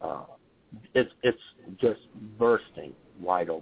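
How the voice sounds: A man's low-pitched, slow delivery with lively intonation, vocal fry and a slightly husky edge.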